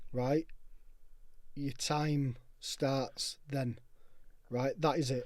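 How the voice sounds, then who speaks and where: A man with a Yorkshire accent and a fairly high pitch, in monotone, flat intonation at a very slow pace with long, frequent pauses. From northern England, Castleford, West Yorkshire. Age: 30s. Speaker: sobriety movement founder. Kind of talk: casual chat. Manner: emphatic.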